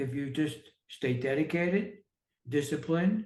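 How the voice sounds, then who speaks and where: This man has an American accent and a fairly high pitch. His voice is somewhat breathy, with ordinary pitch variation. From New York City. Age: 60s. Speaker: entrepreneur and author. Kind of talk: podcast interview. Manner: halting, many fillers.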